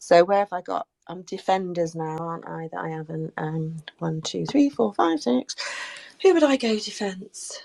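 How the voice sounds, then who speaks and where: In a dry, close sound with no echo, a voice with a dark, mellow tone speaks at a moderate pace with lively intonation and big swings in loudness. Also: woman, fairly low pitch for a woman. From southern England, Swindon area. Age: 60s. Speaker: head of women's football. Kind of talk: casual chat. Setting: live online show.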